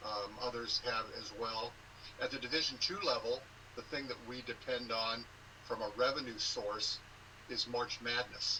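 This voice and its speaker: Noticeable background noise surrounds a man whose intonation stays fairly even, and he speaks with an American accent. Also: medium pitch for a man, moderate pace. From Southern California. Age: 60s. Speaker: sports conference commissioner and former sportscaster. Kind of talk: interview.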